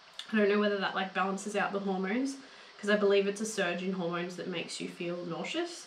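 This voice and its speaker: A woman with an Australian accent at a medium pitch and a very fast pace, amid noticeable background noise and audible room echo. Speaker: vlogger. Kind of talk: casual vlog talk. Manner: animated.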